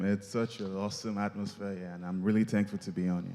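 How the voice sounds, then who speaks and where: The man's delivery is monotone and flat at a very fast pace. His voice sits fairly low, with a dark, mellow tone. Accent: Nigerian. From Nigeria. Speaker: musical performer. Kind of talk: interview.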